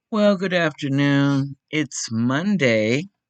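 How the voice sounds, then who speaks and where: Lively intonation rides over a very slow pace in a dry, close sound with no echo. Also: woman. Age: 70s. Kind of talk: casual podcast monologue.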